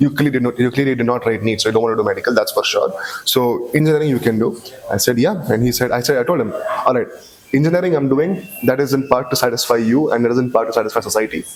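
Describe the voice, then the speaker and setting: Very fast speech from a man in a Bangalore accent, very even in loudness, with noticeable background noise. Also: medium pitch for a man, ordinary pitch variation. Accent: Bangalore Indian English. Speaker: podcast guest, engineering graduate. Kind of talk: casual chat. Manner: halting, with many restarts.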